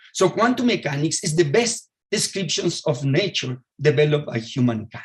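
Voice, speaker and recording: This man has a Spanish accent and a fairly high pitch. He speaks at a moderate pace with very wide pitch swings. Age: 60s. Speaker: physicist. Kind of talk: lecture. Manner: halting.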